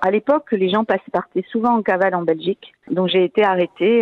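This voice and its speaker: In a plain, everyday voice, a woman speaks at a medium pitch and a moderate pace with ordinary pitch variation. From French Basque Country. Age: 60s. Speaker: museum director. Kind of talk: radio interview anecdote.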